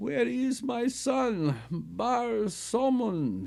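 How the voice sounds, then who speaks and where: Using a put-on character voice, a man speaks very slowly in a shaky, high voice. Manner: feeble.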